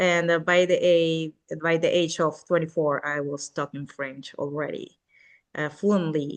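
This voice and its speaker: Fairly slow speech in a Spanish accent, with fairly even intonation. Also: woman. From Venezuela. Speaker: real estate agent. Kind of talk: podcast interview. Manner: halting, many fillers.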